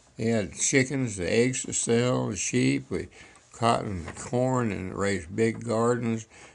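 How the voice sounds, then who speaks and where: A man speaks at a fairly slow pace and a medium pitch. His pitch variation is ordinary, and there is noticeable background noise. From Texas, Fort Worth area. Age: 90s. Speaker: elderly family storyteller. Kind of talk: oral history storytelling. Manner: halting, with false starts.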